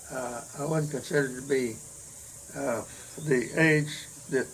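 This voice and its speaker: A man with an American accent talks at a medium pitch and moderate pace, with ordinary pitch variation and noticeable background noise. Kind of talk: oral history interview answer. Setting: at home.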